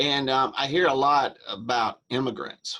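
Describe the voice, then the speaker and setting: Vocal fry runs through a man's bright, sharp tone in a Southern US accent. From US South. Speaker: interviewer. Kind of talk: interview.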